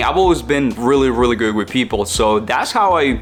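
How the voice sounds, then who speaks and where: Over music in the background, a man with a strong Mexican accent talks at a moderate pace and a medium pitch. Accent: heavy Mexican Spanish. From central Mexico. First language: Spanish. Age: 20s. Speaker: online entrepreneur, content creator. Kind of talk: personal story vlog. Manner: casual, with fillers.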